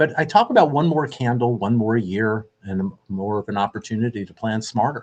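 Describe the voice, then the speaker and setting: A man in a normal speaking voice talks at a fairly quick pace with hardly any pauses, medium pitch and ordinary pitch variation over a quiet background. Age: 60s. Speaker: radio host and mortgage lender. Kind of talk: radio show monologue.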